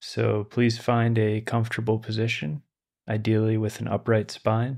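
The background is quiet. A man talks at a moderate pace in a fairly low pitch. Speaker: meditation teacher. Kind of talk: lecture then guided meditation. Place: home room. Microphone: studio mic.

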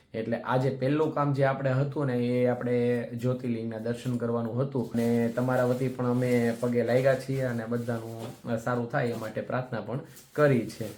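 A man speaks at a medium pitch with monotone, flat intonation. Audible room echo and noticeable background noise fill the recording. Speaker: travel vlogger. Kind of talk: travel vlog narration.

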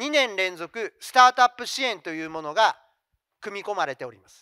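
Over a quiet background, a man raises and projects his high-pitched voice, bright and sharp in tone, with very wide pitch swings and a dry sound with no echo. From Japan, Fukuoka; Japan. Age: 50s. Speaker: company CEO; presenter. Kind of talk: investor presentation. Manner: formal. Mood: polite, formal business tone. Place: hall. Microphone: handheld.

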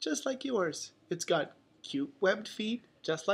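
Lively intonation in an unforced reading voice

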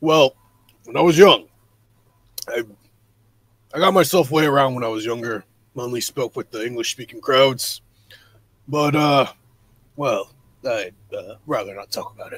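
A man puts on a character voice, fairly high in pitch. He moves at a moderate pace with long, frequent pauses. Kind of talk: improvised character dialogue.

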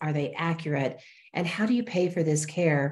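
Against a quiet background, a woman talks at a moderate pace with a fairly low pitch and a dark, mellow tone. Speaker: show host. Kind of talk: host introduction. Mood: warm, upbeat. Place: home room. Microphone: earbuds.

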